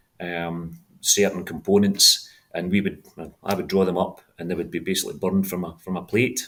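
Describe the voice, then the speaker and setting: A man with a Scottish accent talks at a fairly quick pace. His very deep, low pitch stays monotone and flat. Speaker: franchise owner, former engineering executive. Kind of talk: interview. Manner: halting, repeats words.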